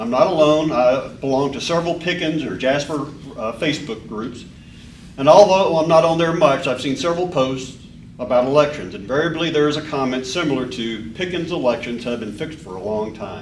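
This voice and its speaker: Audible room echo and noticeable background noise surround speech at a fairly quick pace, with big swings in loudness and ordinary pitch variation. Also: man, fairly high pitch for a man. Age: 60s. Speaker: member of the public giving comment. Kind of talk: public comment at a board meeting. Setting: public board meeting room. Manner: halting, with repeated words.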